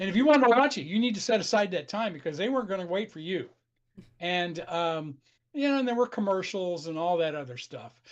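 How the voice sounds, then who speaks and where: Someone with an American accent talks at a very fast pace over a quiet background. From South Carolina, US South. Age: 70s. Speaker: retired historian, film buff. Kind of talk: casual chat. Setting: live stream.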